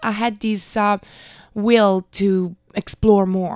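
A woman with an Italian accent speaks very slowly at a fairly high pitch, her intonation monotone and flat. The recording is very clean, with a silent background and a dry, close sound with no echo. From Italy, Milan. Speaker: backpacker. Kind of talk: interview.

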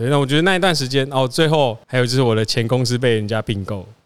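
The recording presents a normal speaking voice whose pitch varies in an ordinary way. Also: man. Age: 30s. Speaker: photographer and business owner. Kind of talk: interview.

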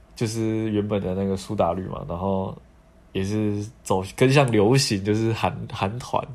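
A man's fairly low voice at a fairly slow pace, with audible room echo. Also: fairly even intonation. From Taiwan. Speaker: podcast host. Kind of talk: casual chat.

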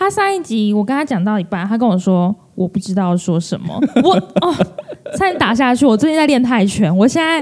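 A woman talks at a fairly quick pace in an animated tone. Her fairly high voice moves in very wide pitch swings. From Taiwan, Kaohsiung. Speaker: podcast co-host. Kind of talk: casual chat. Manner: animated, laughing often.

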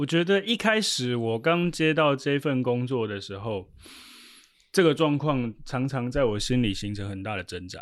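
The speaker's pitch swings very widely and the loudness rises and falls sharply, all at a moderate pace. It is a very clean recording with a silent background. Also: man, medium pitch for a man. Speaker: sports team interpreter. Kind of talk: casual interview.

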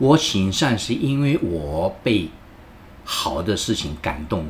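Very deep, low pitch from a man, with lively intonation. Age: 70s. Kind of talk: interview. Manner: halting, with many fillers.

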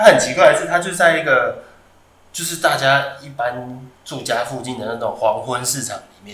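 A man with a Taiwanese accent speaks at a fairly high pitch with ordinary pitch variation and big swings in loudness. Noticeable background noise and audible room echo are present. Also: moderate pace. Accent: Taiwanese Mandarin. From Taiwan, Taoyuan. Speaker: podcast host. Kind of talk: casual chat.

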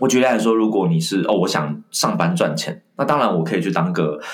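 At a fairly quick pace, a man with a fairly low pitch makes very wide pitch swings. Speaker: communication skills trainer and author. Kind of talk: interview conversation.

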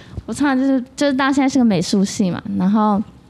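Speaking at a fairly quick pace with a Taiwanese accent, a woman uses a fairly high pitch, lively intonation and an animated tone. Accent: Taiwanese Mandarin. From Taiwan, Taipei (Wanhua district). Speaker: podcast host. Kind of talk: casual chat.

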